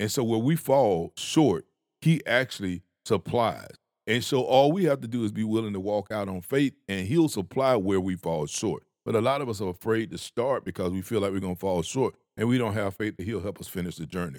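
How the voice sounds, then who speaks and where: An ordinary speaking voice: a man with an American accent, fairly low pitch and lively intonation, talking at a fairly quick pace. The recording is very clean with a silent background and a dry, close sound with no echo. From Georgia (US South). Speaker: podcast co-host, professional speaker. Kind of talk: casual chat.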